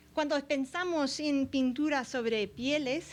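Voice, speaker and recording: Speaking at a very slow pace, a woman talks with an English accent. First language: English (speaking Spanish). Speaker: art history professor. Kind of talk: lecture. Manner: halting, many fillers.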